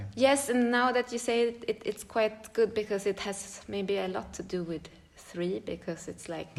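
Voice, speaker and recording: A woman with a Swedish accent speaks at a moderate pace and medium pitch, her pitch varying in an ordinary way. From Sweden. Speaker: choreographer and dance teacher. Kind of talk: casual interview chat. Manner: hesitant, many fillers.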